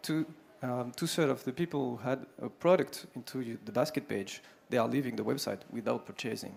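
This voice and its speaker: A man's medium-pitched voice with vocal fry, a French accent, ordinary pitch variation and a fairly quick pace. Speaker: sales executive. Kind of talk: conference pitch. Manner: halting.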